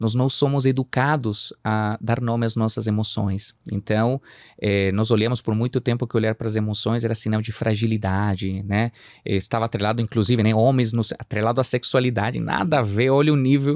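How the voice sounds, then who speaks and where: A man speaks with a slight Chilean accent and fairly even intonation. The recording is very clean with a silent background and a dry, close sound with no echo. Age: 30s. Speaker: psychoanalyst. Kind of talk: podcast interview.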